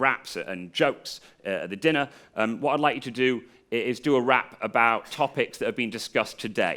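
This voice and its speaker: A man's bright, sharp voice at a medium pitch, in an English accent, with ordinary pitch variation and a moderate pace, on a very clean recording with a silent background. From England. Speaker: comedian and freestyle rapper. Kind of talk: improv lesson to a live audience.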